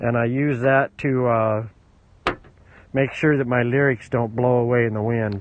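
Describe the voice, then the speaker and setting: A man speaks in a monotone, flat way at a fairly slow pace with long, frequent pauses, in a dry sound with no echo over light background noise. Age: 60s. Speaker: musician. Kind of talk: casual chat. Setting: outdoors. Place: open country. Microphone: headset.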